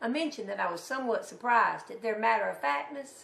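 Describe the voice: Vocal fry shows up in a fairly bright tone at a moderate pace. Audible room echo surrounds the voice. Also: woman.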